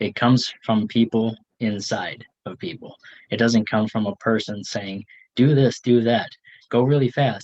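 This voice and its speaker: Intonation stays fairly even as a man at medium pitch speaks at a fairly slow pace. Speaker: health and wellness coach. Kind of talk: presentation.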